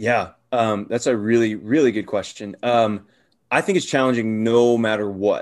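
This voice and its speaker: A man with an American accent and an unremarkable speaking voice, at a medium pitch and moderate pace, with fairly even intonation over a quiet background. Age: 30s. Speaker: youth pastor. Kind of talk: casual interview.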